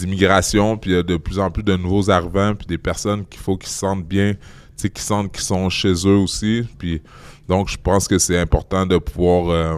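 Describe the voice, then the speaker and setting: A man with a Quebec accent and a very deep, low pitch, monotone and flat, at a moderate pace with big swings in loudness. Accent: Québécois. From Quebec City, Canada. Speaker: guest speaker on bullying and racism. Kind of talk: interview. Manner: halting, many repeated words.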